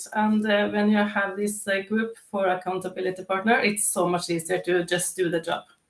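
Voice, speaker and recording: Woman with a non-native accent, very even loudness, fairly even intonation and hardly any pauses. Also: medium pitch for a woman, moderate pace. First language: not English. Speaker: declutter coach. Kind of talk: live interview. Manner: halting, many fillers.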